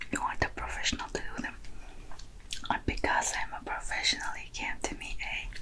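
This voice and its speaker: The words come in a whisper at a fairly quick pace. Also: woman. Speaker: ASMR content creator. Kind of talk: ASMR roleplay, friend doing your makeup. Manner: whispered, soft, friendly. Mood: playful, teasing. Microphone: studio mic.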